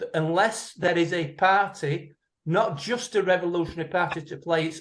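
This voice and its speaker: Moderate pacing from a man with a high voice. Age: 60s. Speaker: audience member in Q&A. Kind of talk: Q&A discussion comment. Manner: halting.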